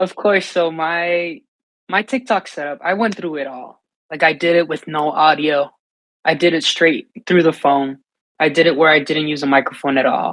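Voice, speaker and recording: A man with a Spanish accent speaks at a fairly high pitch with ordinary pitch variation. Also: moderate pace. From US, New York City (Dominican family). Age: 20s. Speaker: singer-songwriter and live streamer. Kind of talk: interview answers. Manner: casual, repetitive self-restarts.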